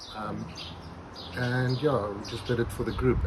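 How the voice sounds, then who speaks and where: A man speaks at a fairly quick pace over loud background noise. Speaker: barbecue channel host. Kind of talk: casual vlog chat. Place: garden.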